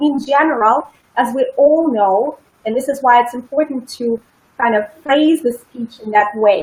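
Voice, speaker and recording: A woman with a non-native accent speaks at a fairly slow pace, her high pitch moving in lively intonation. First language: not English. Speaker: public speaking coach. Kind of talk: interview.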